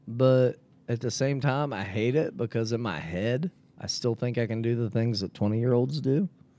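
Noticeable background noise runs under a man speaking at a medium pitch and moderate pace. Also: ordinary pitch variation. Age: 40s. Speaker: podcast host and martial arts coach. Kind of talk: casual chat. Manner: animated.

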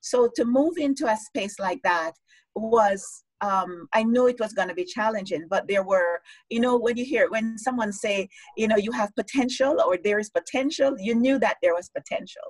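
A somewhat breathy woman with a fairly high pitch uses lively intonation, recorded with a dry, close sound and no echo. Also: moderate pace. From Jamaica. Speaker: life coach and author. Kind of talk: interview on a live-streamed show.

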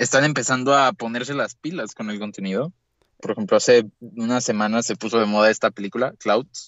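At a fairly quick pace, a man talks in an ordinary speaking voice of medium pitch with ordinary pitch variation. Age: young. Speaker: podcast co-host. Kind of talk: casual chat.

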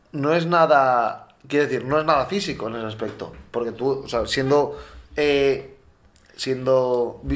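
Spoken at a fairly slow pace with fairly even intonation, the voice carries audible room echo. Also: man. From Valencia, Spain. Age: 20s. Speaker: podcast co-host, handball player. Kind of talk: casual chat.

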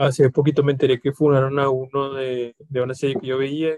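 The man speaks with a Mexican accent in a dry, close sound with no echo. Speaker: podcast co-host. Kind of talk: casual chat.

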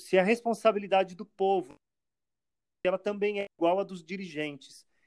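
At a moderate pace, a man talks in a high pitch, recorded dry and close with no echo. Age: 30s. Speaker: actor and theatre producer. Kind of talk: interview. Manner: halting, frequent repetitions.

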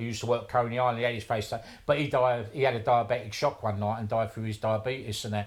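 A man talks at a very fast pace in a South London accent. His pitch is medium and his intonation fairly even. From south London (Wimbledon). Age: 60s. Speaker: tattooist and tattoo history collector. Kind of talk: casual interview chat.

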